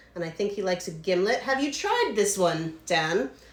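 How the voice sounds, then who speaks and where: A woman with an American accent talks at a moderate pace and medium pitch. Noticeable background noise runs behind her. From United States. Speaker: distillery owner hosting cocktail livestream. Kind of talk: casual live stream chat. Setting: home livestream. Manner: rambling.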